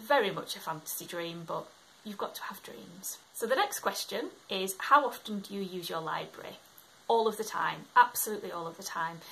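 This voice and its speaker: The pace is fairly quick, with ordinary pitch variation. Loudness swings widely over noticeable background noise. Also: woman, medium pitch for a woman. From Scotland, moved to England at about eight. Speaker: book vlogger. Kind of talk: casual talk to camera.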